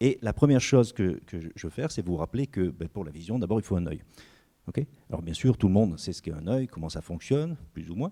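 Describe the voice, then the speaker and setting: Moving at a fairly quick pace, a man speaks in a dark, mellow tone with very wide pitch swings and a dry, close sound with no echo. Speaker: research scientist. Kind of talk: lecture. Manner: fast.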